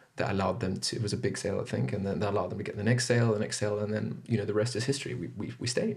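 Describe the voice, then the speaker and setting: A man with a fairly low pitch and vocal fry talks very fast with lively intonation and hardly any pauses. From Zimbabwe and Zambia. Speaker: podcast guest. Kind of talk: casual interview chat.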